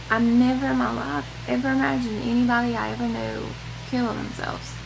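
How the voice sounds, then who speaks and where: Over noticeable background noise, a woman with a Southern US accent speaks at a moderate pace. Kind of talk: casual talk to camera, personal vlog. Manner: earnest, emotional, hesitant.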